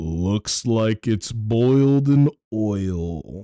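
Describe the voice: Here a man uses a put-on character voice at a medium pitch with lively intonation. The sound is dry and close, with no echo.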